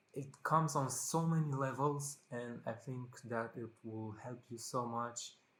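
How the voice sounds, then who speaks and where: A man speaks at a medium pitch with a non-native accent. His pace is fairly slow. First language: not English. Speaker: vlogger. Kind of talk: casual monologue to camera. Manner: halting, many fillers.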